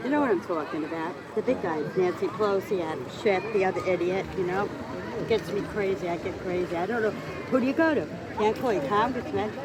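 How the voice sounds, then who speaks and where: Against noticeable background noise and audible room echo, a woman at medium pitch talks at a fairly quick pace in an animated tone with lively intonation. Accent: New York. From Long Island, New York. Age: 60s. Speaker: local resident, political rant. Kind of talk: casual chat. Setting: outdoors.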